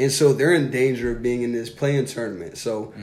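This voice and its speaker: With audible room echo, a man speaks at a medium pitch in a dark, mellow tone with fairly even intonation. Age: 30s. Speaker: basketball podcast co-host. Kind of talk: casual chat. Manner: casual, filler-heavy.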